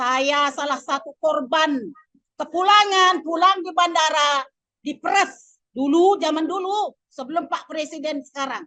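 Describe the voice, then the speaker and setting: With a Lampung accent, the speaker uses a raised, projected voice with a bright, sharp tone, ordinary pitch variation and a fairly slow pace. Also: woman, extremely high pitch for a woman. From Lampung, Indonesia. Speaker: migrant worker. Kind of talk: audience testimony. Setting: workshop with audience.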